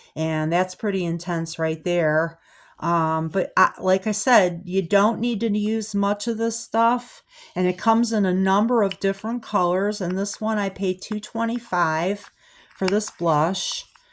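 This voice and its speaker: The recording is very clean, with a silent background. A woman speaks at a fairly slow pace, her medium pitch held in fairly even intonation. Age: 60s. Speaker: haul video creator. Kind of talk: product review. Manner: hesitant, many fillers.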